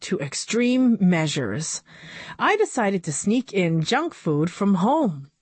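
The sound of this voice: Lively intonation in an unforced reading voice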